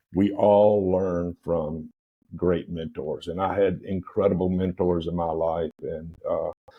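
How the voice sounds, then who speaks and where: Man's dark, mellow tone with fairly even intonation. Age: 70s. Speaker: restaurant owner and entrepreneur. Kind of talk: interview conversation. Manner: halting, many fillers.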